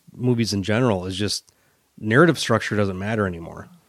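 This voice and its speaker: Fairly low in pitch with ordinary pitch variation, this man has an unremarkable speaking voice. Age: 40s. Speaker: metal podcast co-host. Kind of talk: casual chat.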